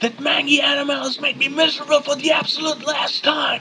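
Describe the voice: Shouting in a put-on character voice, a man uses an extremely high pitch with little pitch movement, a bright, sharp tone and a fairly quick pace.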